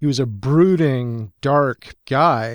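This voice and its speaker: An unremarkable speaking voice from a man, medium pitch and ordinary pitch variation, dry and close with no echo, on a very clean recording with a silent background. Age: 50s. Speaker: comics columnist and pulp author. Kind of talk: casual chat.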